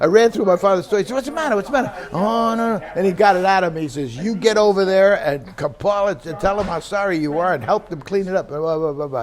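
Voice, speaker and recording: Against noticeable background noise, a man with a New York accent speaks very fast at a high pitch, with lively intonation and hardly any pauses. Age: old. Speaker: retired aerospace worker. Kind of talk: oral history interview. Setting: recorded interview.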